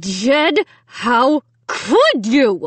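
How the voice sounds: A woman puts on a character voice, fairly high in pitch with a slightly husky edge and big pitch swings. She goes at a very slow pace, and the sound is dry and close with no echo.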